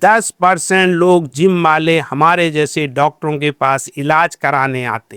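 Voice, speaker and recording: Fairly high-pitched male voice, bright and sharp in tone, with big swings in loudness. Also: ordinary pitch variation, hardly any pauses, dry, close sound with no echo. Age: 70s. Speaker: orthopedic surgeon. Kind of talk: podcast interview.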